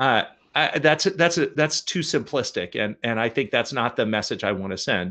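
Over a quiet background, a man with an American accent speaks at a moderate pace and medium pitch with lively intonation. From US Pacific Northwest, Portland, Oregon. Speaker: nonprofit research leader. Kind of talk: interview. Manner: hesitant, many fillers and repeats.

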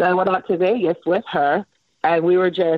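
A woman's fairly low-pitched, plain, everyday voice with an American accent at a fairly quick pace. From Miami, Florida. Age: 40s. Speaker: chef. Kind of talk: casual chat.

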